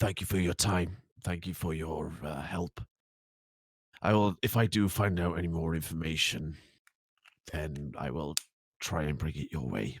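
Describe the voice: A gruff, put-on character voice from a man, very deep and low in pitch, at a moderate pace with long, frequent pauses, on a very clean recording with a silent background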